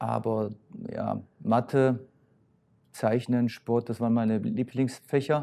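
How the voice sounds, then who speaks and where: This man's medium-pitched voice has a dark, mellow tone. His intonation is monotone and flat. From Poland, then East Germany (Halle). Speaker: former footballer and youth coach. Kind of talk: interview. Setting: old home locker room of a football stadium.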